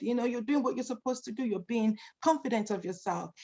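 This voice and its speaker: A woman's voice comes through somewhat breathy at a fairly high pitch. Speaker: domestic violence educator. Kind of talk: virtual presentation. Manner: fast.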